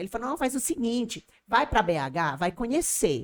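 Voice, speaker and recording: Speaking at a moderate pace with lively intonation, a woman has an ordinary speaking voice. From Colombia, Barranquilla (Caribbean coast). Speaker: business owner and language school owner. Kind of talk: podcast interview.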